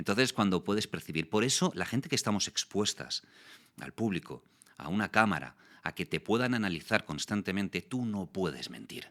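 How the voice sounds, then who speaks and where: A man with a fairly low pitch, vocal fry and a bright, sharp tone talks at a fairly quick pace with lively intonation, the sound dry and close with no echo in a very clean recording with a silent background. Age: 40s. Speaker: voice actor and communication youtuber. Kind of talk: interview.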